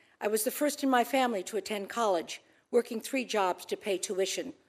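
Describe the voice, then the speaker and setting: Recorded very cleanly against a silent background, a woman with a normal speaking voice talks at a fairly quick pace and a fairly high pitch with ordinary pitch variation. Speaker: ambassador nominee, businesswoman. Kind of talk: confirmation hearing statement and Q&A. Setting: Senate hearing room.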